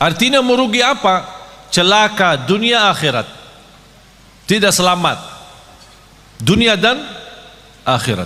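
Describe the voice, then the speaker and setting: A man talks fairly slowly, with audible room echo and noticeable background noise in the recording. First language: not Indonesian (speaking Indonesian). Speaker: Islamic preacher. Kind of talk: sermon.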